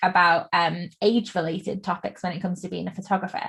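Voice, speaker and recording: Talking at a very fast pace, a woman uses a somewhat breathy voice of medium pitch. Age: 20s. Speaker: podcast host and wedding photographer. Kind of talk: podcast interview.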